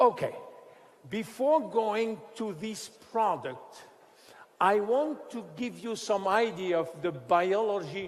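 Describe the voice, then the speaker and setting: A man in a French accent speaks at a high pitch with lively intonation. His voice carries audible room echo. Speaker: scientist presenting a skincare product. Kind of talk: product presentation lecture. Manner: halting.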